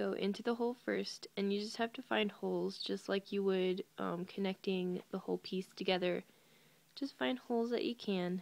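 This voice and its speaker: A woman talks at a moderate pace. She is soft-spoken. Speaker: crochet tutorial video maker. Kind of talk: tutorial. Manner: hesitant, many fillers.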